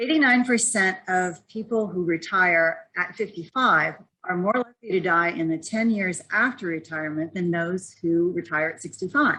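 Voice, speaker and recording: A woman with a bright, sharp tone and a medium pitch speaks at a moderate pace with hardly any pauses, her pitch varying in an ordinary way. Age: 60s. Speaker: startup founder, personal growth coach. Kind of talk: pitch presentation.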